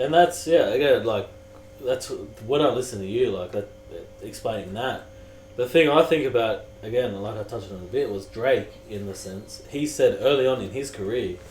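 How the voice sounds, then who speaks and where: With an Australian accent and a medium pitch, a man speaks over background music, his loudness swinging widely amid audible room echo. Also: ordinary pitch variation, moderate pace. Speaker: podcast host. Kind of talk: casual chat.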